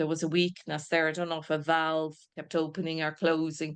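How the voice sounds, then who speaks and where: A woman's fairly low voice with an Irish accent, against a quiet background. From Ireland, Dublin. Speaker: spiritualist medium. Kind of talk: mediumship demonstration. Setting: video call. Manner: halting.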